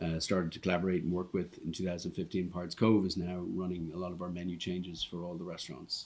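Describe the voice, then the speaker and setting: Barely pausing, a man with an Irish accent and a very deep, low pitch races along at a very fast pace in a monotone, flat delivery. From Ireland, Dublin. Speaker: restaurant owner. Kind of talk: podcast interview. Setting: restaurant.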